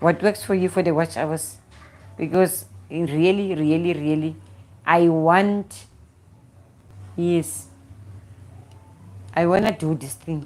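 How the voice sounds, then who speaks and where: This woman has a fairly low pitch and a South African accent. She speaks at a fairly slow pace. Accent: South African Xhosa-accented English. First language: Xhosa. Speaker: YouTuber. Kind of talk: live stream chat. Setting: at home. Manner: halting, repetitive.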